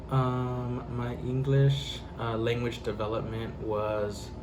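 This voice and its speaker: Speaking at a very slow pace with ordinary pitch variation, a man comes through noticeable background noise and audible room echo. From Central Texas. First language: Spanish. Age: 20s. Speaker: interviewee. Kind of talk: interview. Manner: hesitant, many fillers.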